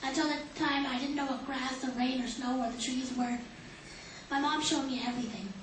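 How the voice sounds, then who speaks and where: Audible room echo surrounds a woman's high-pitched voice. She moves at a fairly quick pace with fairly even intonation. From Canada, Winnipeg, Manitoba. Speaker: patient speaker at a hospital conference. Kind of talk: prepared speech; panel Q&A answer. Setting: conference stage with audience.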